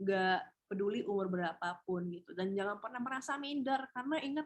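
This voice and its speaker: The speaker has a normal speaking voice with lively intonation. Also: woman. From Indonesia, Padang (West Sumatra). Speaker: TV host and beauty pageant winner, webinar speaker. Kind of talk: webinar talk, casual advice. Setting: online webinar.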